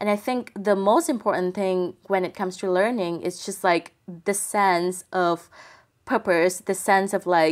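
A woman with a Vietnamese accent, medium-pitched, at a fairly slow pace with fairly even intonation. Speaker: tech publication executive. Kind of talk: interview.

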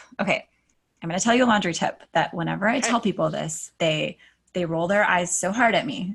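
A woman's medium-pitched voice with vocal fry, ordinary pitch variation and a very fast pace. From Alaska. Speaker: decluttering coach. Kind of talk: casual interview.

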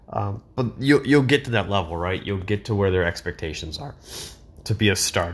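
Somewhat breathy and fairly low in pitch, a man speaks at a fairly quick pace with ordinary pitch variation. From Wisconsin, Kenosha County. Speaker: sports podcaster. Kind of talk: solo podcast monologue. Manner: rambling with frequent fillers.

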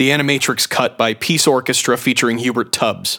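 Over noticeable background noise, a man talks fairly quickly in a medium pitch. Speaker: radio host. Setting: studio.

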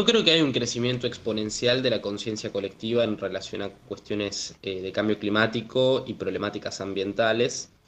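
This man has an unremarkable speaking voice, medium in pitch, delivered at a moderate pace with fairly even intonation. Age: 20s. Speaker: climate activist. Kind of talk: interview.

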